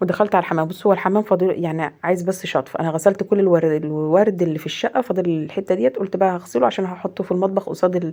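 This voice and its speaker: A woman in an Egyptian accent, medium in pitch with a dark, mellow tone, ordinary pitch variation, a very fast pace and hardly any pauses. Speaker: home vlogger, mother. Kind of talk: casual vlog narration.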